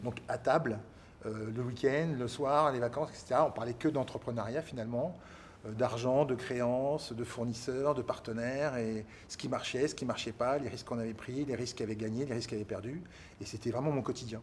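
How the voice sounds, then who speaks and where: Speaking at a fairly quick pace, this man has a medium pitch. His intonation stays fairly even. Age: 60s. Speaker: business executive and entrepreneur. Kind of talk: interview testimony. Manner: hesitant, many fillers.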